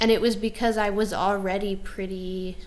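A woman speaks softly. Her pace is fairly slow. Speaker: yoga instructor. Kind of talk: casual interview conversation. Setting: home, indoor with microphones. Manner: soft-spoken.

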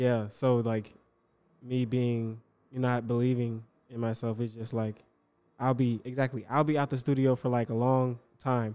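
A man with a medium pitch and a dark, mellow tone speaks at a moderate pace in a monotone, flat way, leaving long, frequent pauses. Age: 20s. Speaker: rapper and skit comedian. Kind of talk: casual chat.

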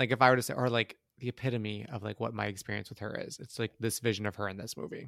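At a very fast pace with hardly any pauses, a man speaks at medium pitch with vocal fry and fairly even intonation, the sound dry and close with no echo. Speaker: movie review podcast co-host. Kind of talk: casual chat.

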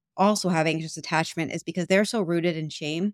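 A woman with an American accent, fairly low in pitch, with fairly even intonation, in a dry, close sound with no echo and a very clean recording over a silent background. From New York. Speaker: abuse recovery coach. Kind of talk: interview. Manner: loud.

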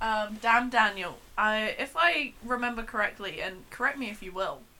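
A South London accent at a moderate pace, with ordinary pitch variation and big swings in loudness. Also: woman, fairly high pitch for a woman. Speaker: podcast co-host. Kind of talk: casual chat.

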